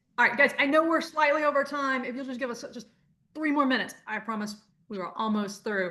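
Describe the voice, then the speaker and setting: A woman talks at a very fast pace in a raised, projected voice, her high pitch showing ordinary variation and her tone bright and sharp. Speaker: adult education coordinator. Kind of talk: webinar presentation.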